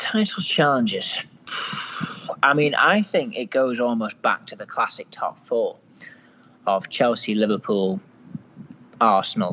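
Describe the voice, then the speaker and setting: The man talks at a fairly slow pace. He leaves long, frequent pauses. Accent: British. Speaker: soccer pundit. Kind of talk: casual chat.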